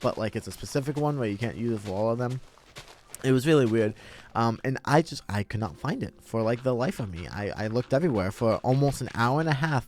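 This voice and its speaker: Speaking quietly at a very fast clip, the man uses ordinary pitch variation. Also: medium pitch for a man. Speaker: gaming content creator. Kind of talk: personal story told over gameplay. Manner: halting, many fillers.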